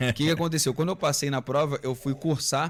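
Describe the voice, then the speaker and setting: Speaking with a Rio de Janeiro accent, a man talks at a fairly quick pace with ordinary pitch variation on a very clean recording with a silent background. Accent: Rio de Janeiro (carioca). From Rio de Janeiro, Brazil. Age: 30s. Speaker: former military police officer. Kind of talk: podcast interview.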